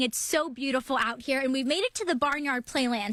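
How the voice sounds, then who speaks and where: A woman with a high pitch is heard against noticeable background noise. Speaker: TV news reporter. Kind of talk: TV news reporting. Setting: outdoors, live reports on location.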